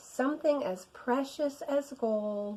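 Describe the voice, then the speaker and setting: Fairly slow, high-pitched speech from a woman in a put-on character voice. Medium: read story.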